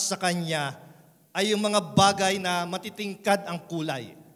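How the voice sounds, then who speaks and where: This man has a high pitch, fairly even intonation and a slight Visayan accent. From Philippines, Visayan parents. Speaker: pastor. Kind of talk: sermon.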